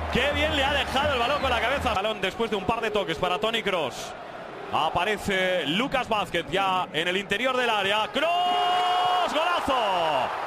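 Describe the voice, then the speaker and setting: Over noticeable background noise, a high-pitched man speaks fairly slowly with very wide pitch swings and very even loudness. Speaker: football match commentator. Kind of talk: live football commentary.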